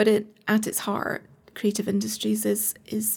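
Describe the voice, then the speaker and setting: A woman speaks with a Scottish accent at a fairly slow pace. Her voice is somewhat breathy. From Scotland, Edinburgh. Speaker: arts organisation director. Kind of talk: casual interview.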